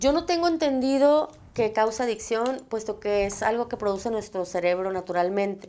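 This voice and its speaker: A woman's fairly high voice with a dark, mellow tone, lively intonation and a moderate pace. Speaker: psychologist, TV show host. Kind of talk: talk show answering viewer questions.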